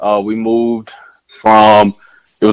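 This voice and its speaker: Speaking at a moderate pace with a normal speaking voice, a man keeps a medium pitch and fairly even intonation in a dry, close sound with no echo. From mixed upbringing: South Carolina, Texas, Germany (military-style moves). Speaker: educator and author, podcast guest. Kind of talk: casual interview conversation.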